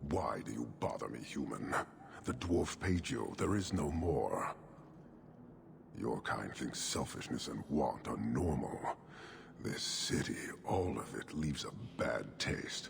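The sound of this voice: In a put-on character voice with vocal fry and lively intonation, the speaker goes slowly over faint background noise. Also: man, extremely low pitch for a man.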